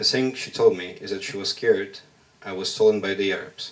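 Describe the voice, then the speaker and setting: With noticeable background noise behind him, a man talks in a Russian accent. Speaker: workshop participant, poet. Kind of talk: spoken word poetry performance. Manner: halting.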